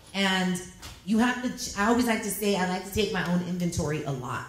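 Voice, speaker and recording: A woman with a medium-pitched voice speaks in an animated tone at a fairly quick pace. Her voice carries audible room echo, and there is noticeable background noise. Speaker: radio personality. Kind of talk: panel discussion. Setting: stage with audience. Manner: loud.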